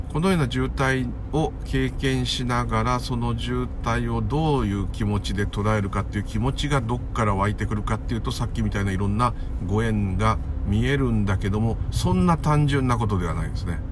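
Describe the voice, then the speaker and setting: A man with a very deep, low voice talks fairly quickly, with very wide pitch swings and very even loudness. Audible room echo and noticeable background noise fill the recording. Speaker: care worker and spiritual podcaster. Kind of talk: casual monologue. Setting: walking home outdoors.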